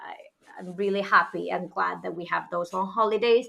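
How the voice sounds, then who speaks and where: A woman's voice, bright and sharp in tone. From Galicia, northwest Spain. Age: 30s. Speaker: teacher. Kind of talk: interview.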